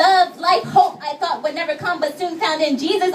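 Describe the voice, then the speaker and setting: At a moderate pace, a woman talks in an extremely high pitch with ordinary pitch variation. Noticeable background noise is audible. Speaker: spoken word poet. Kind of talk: spoken word poetry performance. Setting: live gallery event. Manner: some stuttering, shaky delivery.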